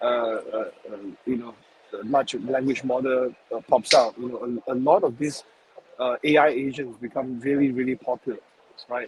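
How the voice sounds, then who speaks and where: A man at a medium pitch and moderate pace, monotone, flat intonation, long, frequent pauses and noticeable background noise. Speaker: author and investor. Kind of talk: webinar panel discussion. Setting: remote call from a shopping mall. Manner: halting, many fillers and repetitions.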